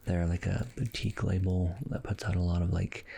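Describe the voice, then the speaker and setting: Soft-spoken and somewhat breathy, a man talks at a fairly low pitch in a dark, mellow tone with fairly even intonation. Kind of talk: soft-spoken ASMR review. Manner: soft-spoken, casual.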